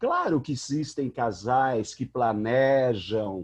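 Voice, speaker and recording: A man is talking. His pace is very slow. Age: 60s. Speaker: psychology professor. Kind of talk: panel discussion. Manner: animated.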